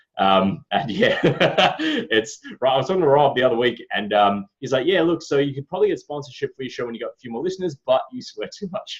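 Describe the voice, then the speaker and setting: A man with an Australian accent at a fairly quick pace, big swings in loudness. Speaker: podcast host. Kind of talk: casual chat.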